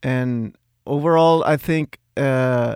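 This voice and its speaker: A fairly high-pitched man with a Spanish accent, in a very clean recording with a silent background and a dry, close sound with no echo. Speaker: music recording engineer. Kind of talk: casual interview chat. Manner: halting, hesitant.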